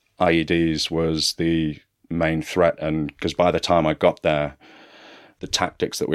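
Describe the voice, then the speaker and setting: In a very clean recording with a silent background and a dry, close sound with no echo, a man speaks with an English Midlands accent in a very deep, low pitch and monotone, flat intonation. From West Midlands, England (Kenilworth). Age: 30s. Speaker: former special forces soldier, distiller. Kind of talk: interview storytelling. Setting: studio.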